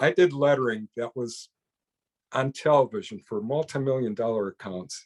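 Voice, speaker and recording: With an American accent, a man speaks at a medium pitch and moderate pace. His intonation is lively, and the sound is dry and close with no echo. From US Midwest, Chicago area. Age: 60s. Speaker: pen maker. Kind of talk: interview conversation. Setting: podcast recording. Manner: halting, with frequent restarts.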